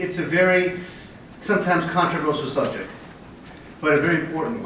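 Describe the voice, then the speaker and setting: A man with an American accent at a fairly quick pace, amid noticeable background noise and audible room echo. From US, Connecticut. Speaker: business manager of a waste-to-energy facility. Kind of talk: conference presentation.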